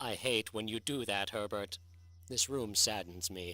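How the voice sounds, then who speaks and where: A man puts on a character voice at a fairly low pitch. His pace is moderate. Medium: audio drama. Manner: slow, sad, reticent.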